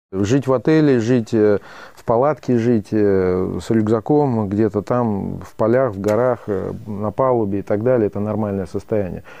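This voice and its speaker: Using a normal speaking voice, a man talks at a fairly slow pace with a fairly low pitch and ordinary pitch variation. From Russian Caucasus. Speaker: retail entrepreneur. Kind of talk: interview.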